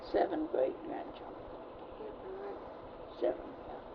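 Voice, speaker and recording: A woman speaks over noticeable background noise. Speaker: retired nurse. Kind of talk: oral history interview answer. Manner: sassy.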